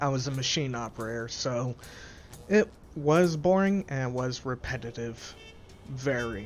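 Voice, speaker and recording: Man at medium pitch, fairly slow with long, frequent pauses, music in the background. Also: ordinary pitch variation. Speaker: gaming let's play host. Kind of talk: casual gameplay commentary. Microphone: new pop filter on mic.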